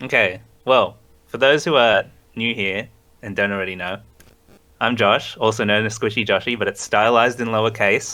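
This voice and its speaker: Speaking at a moderate pace with a slight Australian accent, a man keeps his intonation fairly even and leaves long, frequent pauses. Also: medium pitch for a man. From Australia, Sydney. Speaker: graphic designer and streamer. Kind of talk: interview.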